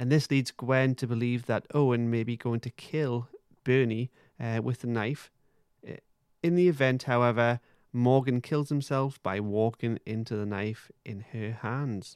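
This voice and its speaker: A Geordie accent at a fairly slow pace, with fairly even intonation and a dry, close sound with no echo over a quiet background. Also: man, medium pitch for a man. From Newcastle, northeast England. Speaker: podcast co-host. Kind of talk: casual chat; episode plot recap.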